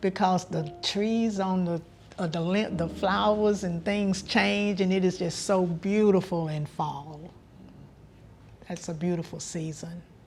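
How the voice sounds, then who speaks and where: A somewhat breathy woman with a North Carolina accent, medium pitch, fairly slow pace and fairly even intonation. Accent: Southern US (North Carolina). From US South. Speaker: elder interviewee. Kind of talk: interview.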